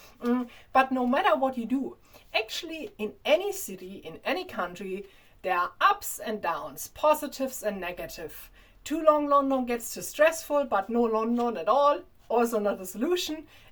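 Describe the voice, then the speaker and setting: A woman with a strong German accent talks at a moderate pace in a high pitch, her voice making very wide pitch swings and big swings in loudness. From Germany. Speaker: vlogger. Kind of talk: casual monologue to camera. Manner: halting.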